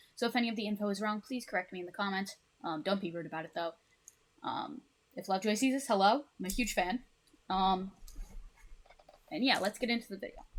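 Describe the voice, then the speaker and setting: A woman talks at a very fast pace with a medium pitch, ordinary pitch variation, and long, frequent pauses. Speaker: music fan presenter. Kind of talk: casual talk reading a presentation. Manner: stuttering, hesitant with fillers.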